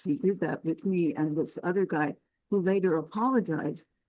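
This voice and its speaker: Her voice sits at a medium pitch, with a dark, mellow tone and lively intonation. The woman keeps a moderate pace against a quiet background. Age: 80s+. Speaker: focus group participant. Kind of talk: group discussion. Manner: animated.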